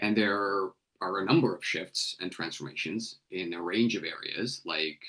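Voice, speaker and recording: Bright, sharp tone from a man at a moderate pace. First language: Telugu. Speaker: nonprofit CEO. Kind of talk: interview.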